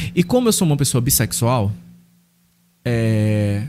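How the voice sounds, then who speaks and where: Against light background noise, a man speaks in a somewhat breathy voice. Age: 30s. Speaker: pastor. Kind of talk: interview testimony. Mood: earnest, personal storytelling. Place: studio. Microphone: studio mic.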